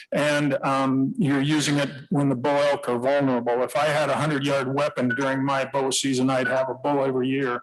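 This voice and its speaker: A man's fairly high, monotone voice in an American accent, very even in loudness with hardly any pauses, over noticeable background noise. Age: 70s. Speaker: public commenter, veteran. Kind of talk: public testimony. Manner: halting.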